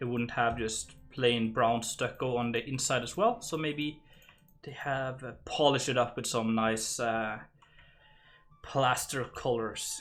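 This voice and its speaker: Music plays in the background as a man speaks with a Norwegian accent. His medium-pitched voice keeps fairly even intonation at a moderate pace. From Norway. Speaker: game streamer. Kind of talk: casual livestream chat while building. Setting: live stream. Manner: halting, many fillers.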